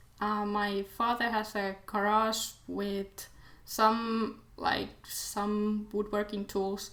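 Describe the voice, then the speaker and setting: Speech in a Finnish accent comes at a very slow pace with monotone, flat intonation. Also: woman, fairly high pitch for a woman. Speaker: DIY video maker, design student. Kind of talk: casual Q&A vlog. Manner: halting, many fillers.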